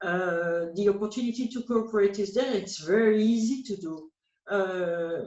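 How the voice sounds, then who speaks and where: Speaking at a moderate pace with a French accent, a woman has a medium pitch, a dark, mellow tone and ordinary pitch variation. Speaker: policy analyst. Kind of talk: interview. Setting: call. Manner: halting.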